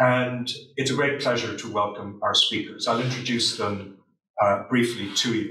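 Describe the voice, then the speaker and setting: At a moderate pace, a man talks in a room with audible echo. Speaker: panel chair. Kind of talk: opening remarks introducing a panel. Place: classroom.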